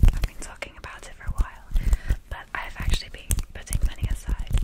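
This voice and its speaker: A woman at a fairly quick pace amid loud background noise. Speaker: ASMR creator. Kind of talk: casual soft-spoken ASMR chat. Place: home room. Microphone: studio mic.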